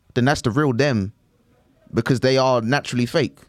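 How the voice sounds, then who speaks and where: With a London accent, the speaker talks at a fairly quick pace in a dry, close sound with no echo. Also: man. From East London. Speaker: comedian. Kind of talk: casual chat. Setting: studio.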